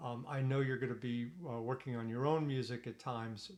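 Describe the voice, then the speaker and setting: His pitch medium and his intonation fairly even, a man talks at a moderate pace. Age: 60s. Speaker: retired attorney giving advice. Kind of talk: informal tutorial. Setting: Zoom recording at home. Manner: halting, many fillers and restarts.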